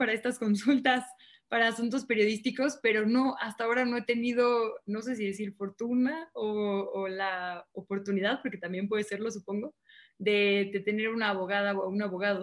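With a fairly high pitch and fairly even intonation, a woman speaks in a plain, everyday voice. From northern Mexico, Monterrey. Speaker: journalist and TV news presenter. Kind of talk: casual interview.

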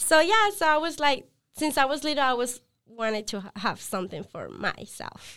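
A woman with a Spanish accent, a bright, sharp tone and high pitch, at a moderate pace, with very wide pitch swings and big swings in loudness. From Colombia, Villavicencio. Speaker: apparel brand co-founder. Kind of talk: podcast interview. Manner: halting.

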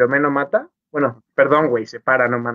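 Ordinary pitch variation at a fairly slow pace. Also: man. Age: 30s. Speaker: podcast co-host. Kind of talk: casual chat. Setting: live stream. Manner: animated.

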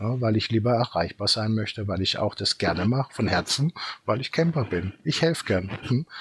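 Somewhat breathy, a man speaks at a moderate pace and medium pitch with lively intonation. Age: 50s. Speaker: company founder. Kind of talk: casual chat.

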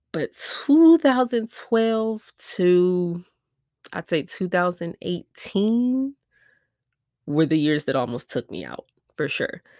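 With an American accent, a woman of medium pitch talks at a very slow pace with long, frequent pauses, very wide pitch swings and big swings in loudness, her dark, mellow tone dry and close with no echo on a very clean recording with a silent background. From US Midwest, Milwaukee, Wisconsin. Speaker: podcast host, entrepreneur. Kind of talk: personal testimony. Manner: casual, conversational.

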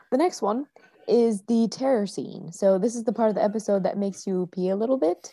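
A plain, everyday voice from a woman, medium in pitch with ordinary variation, at a fairly quick pace. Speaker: podcast co-host. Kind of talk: casual chat.

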